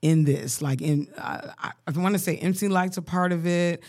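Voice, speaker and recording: A woman speaks with an American accent in a dark, mellow tone. The recording is very clean, with a silent background. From Colorado, US. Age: 30s. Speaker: podcast co-host. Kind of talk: casual chat. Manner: animated.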